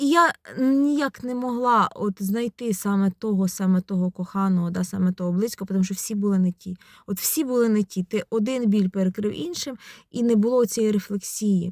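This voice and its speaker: A woman speaks at a moderate pace in an ordinary speaking voice, her pitch medium. Her pitch varies in an ordinary way, and the sound is dry and close with no echo. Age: 40s. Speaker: psychologist, video blogger. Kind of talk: personal vlog monologue. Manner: conversational, reflective.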